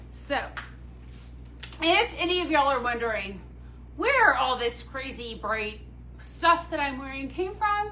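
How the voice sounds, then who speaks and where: A woman at a fairly slow pace with long, frequent pauses, amid noticeable background noise and audible room echo. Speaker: boutique owner presenting handbags. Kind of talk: live shopping stream chat. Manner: loud; animated.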